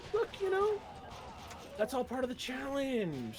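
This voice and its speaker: A man speaks in an American accent. There is noticeable background noise. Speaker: streamer. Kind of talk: casual gaming chat.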